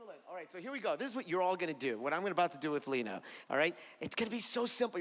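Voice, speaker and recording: A high-pitched man with an American accent and lively intonation. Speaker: improv teacher. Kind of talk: workshop instruction. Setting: stage with audience.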